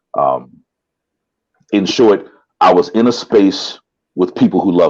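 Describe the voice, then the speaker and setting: A man speaks at a fairly slow pace, leaving long, frequent pauses, and his loudness swings widely. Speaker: spoken word artist. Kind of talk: interview. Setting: video call. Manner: halting.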